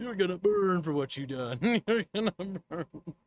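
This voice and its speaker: Putting on a character voice, a man speaks high-pitched at a moderate pace with lively intonation, recorded dry and close with no echo. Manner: menacing.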